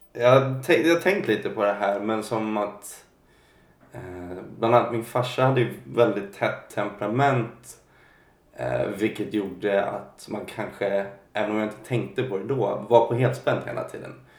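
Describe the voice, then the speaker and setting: Audible room echo surrounds a man speaking at a fairly slow pace. His pitch is medium and his intonation lively. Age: 20s. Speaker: singer. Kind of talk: interview about mental health. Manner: halting.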